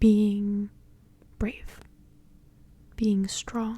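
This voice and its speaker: The voice has a gentle tone. It is soft-spoken. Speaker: ASMR content creator and tarot reader. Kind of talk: ASMR tarot reading, soft-spoken. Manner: soft-spoken, gentle, relaxing.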